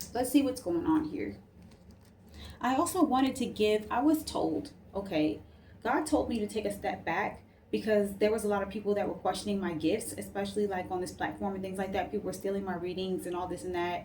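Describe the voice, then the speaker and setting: Lively intonation from a woman at a medium pitch and fairly quick pace, with audible room echo. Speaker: tarot reader. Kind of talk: casual tarot reading to camera. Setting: at home late at night. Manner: soft-spoken; casual, filler-heavy.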